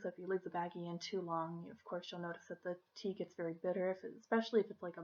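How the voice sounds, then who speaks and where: A woman speaks in a soft-spoken way. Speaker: tea shop host. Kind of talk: ASMR role play. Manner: softly spoken.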